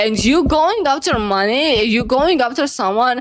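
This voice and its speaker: In a non-native accent, a woman speaks at a high pitch with an animated tone. Her pace is moderate, her pitch variation ordinary. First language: not English. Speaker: reaction video creator. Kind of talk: casual reaction commentary.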